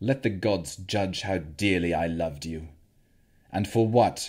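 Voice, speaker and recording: A man's strained, put-on character voice, very deep and low, at a fairly slow pace on a very clean recording with a silent background. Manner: strained, bitter, sorrowful.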